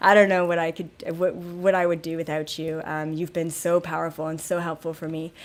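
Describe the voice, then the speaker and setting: In a very clean recording with a silent background, a woman with a fairly low pitch talks at a fairly quick pace. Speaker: psychic channeller. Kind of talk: live stream talk. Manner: subdued, less bubbly than usual.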